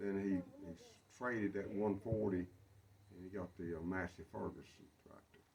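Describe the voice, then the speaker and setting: A man with a North Carolina accent speaks at a moderate pace and fairly low pitch, in a monotone, flat intonation with big swings in loudness. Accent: Southern US (North Carolina). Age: 70s. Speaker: retired farm-raised local recalling childhood. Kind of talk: oral history interview. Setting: outdoors at a barn. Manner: halting, with many fillers.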